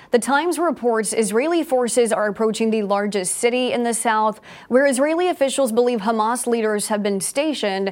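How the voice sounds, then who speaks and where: Here a woman with an ordinary speaking voice talks at a fairly high pitch. Her pace is fairly quick, with ordinary pitch variation. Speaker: news anchor. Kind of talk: studio newsreading, crisp and polished broadcast delivery. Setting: studio. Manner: formal, steady, brisk and authoritative; even, neutral tone with little emotion.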